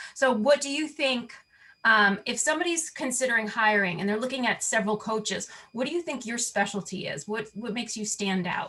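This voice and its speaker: Fairly quick and lively in intonation, a woman speaks with a New York accent, a fairly high pitch and a bright, sharp tone. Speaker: interviewer for a designers' network. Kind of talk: interview.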